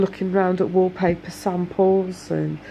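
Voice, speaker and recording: In a British accent, a woman speaks at a fairly slow pace with a fairly low pitch. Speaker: domestic abuse survivor vlogger. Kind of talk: casual talk to camera.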